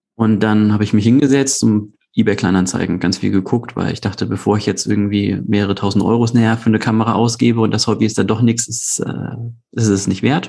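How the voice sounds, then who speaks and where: A man talks at a fairly quick pace with a dark, mellow tone. His pitch is fairly low and his intonation fairly even. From Hamburg, northern Germany. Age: 30s. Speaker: hobby photographer. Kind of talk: casual chat. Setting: video call.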